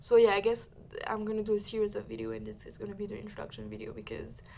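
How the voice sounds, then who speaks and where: A woman talks at a very fast pace. She has a French accent. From mixed: France, Mexico and other countries abroad. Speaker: vlogger, university student. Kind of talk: casual personal vlog. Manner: hesitant, many fillers.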